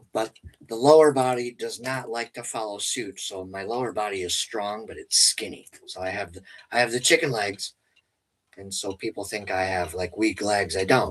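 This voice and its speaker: A man's fairly low voice, a plain, everyday voice, at a moderate pace with ordinary pitch variation, big swings in loudness, and a quiet background. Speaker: paranormal investigator and witch livestream host. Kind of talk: casual livestream chat. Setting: home livestream.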